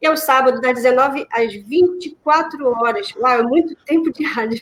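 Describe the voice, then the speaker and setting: A high-pitched woman with a Brazilian accent. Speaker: radio host. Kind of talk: casual chat.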